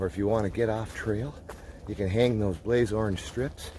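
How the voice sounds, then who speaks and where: Against noticeable background noise, a man with a medium pitch speaks at a moderate pace with ordinary pitch variation. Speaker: outdoors vlogger. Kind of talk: casual vlog narration. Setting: outdoors, hiking trail. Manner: keeping voice down.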